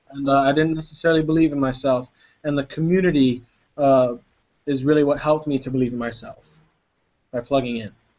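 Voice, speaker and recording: A man talks at a very fast pace yet leaves long, frequent pauses. His pitch is fairly high and his intonation fairly even. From Hawaii (Honolulu, Kalihi). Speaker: network marketing entrepreneur. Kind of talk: interview.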